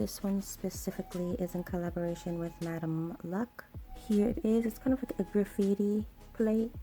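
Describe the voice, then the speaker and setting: Soft-spoken whispering at a moderate pace, with noticeable background noise. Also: woman. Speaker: nail art youtuber. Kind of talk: tutorial. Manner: soft-spoken, near whisper.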